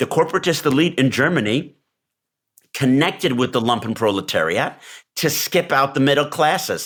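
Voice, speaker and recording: An unremarkable speaking voice, a man with an American accent talks at a moderate pace and fairly high pitch with ordinary pitch variation and very even loudness, on a very clean recording with a silent background. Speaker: podcast co-host. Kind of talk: casual political discussion.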